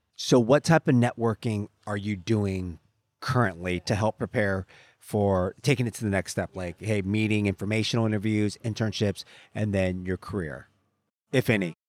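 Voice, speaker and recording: A normal speaking voice moves at a moderate pace with ordinary pitch variation, recorded dry and close with no echo, very clean against a silent background. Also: man, fairly low pitch for a man. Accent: American. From Southern California. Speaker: podcast host. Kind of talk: casual interview.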